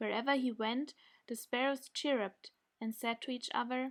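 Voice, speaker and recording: A woman with a German accent, high pitch, ordinary pitch variation and a moderate pace. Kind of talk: bedtime story reading.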